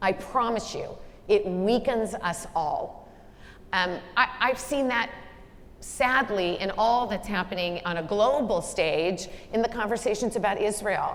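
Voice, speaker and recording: Audible room echo surrounds a woman speaking at a fairly high pitch. She talks at a fairly slow pace with ordinary pitch variation. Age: 60s. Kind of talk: onstage leadership conversation.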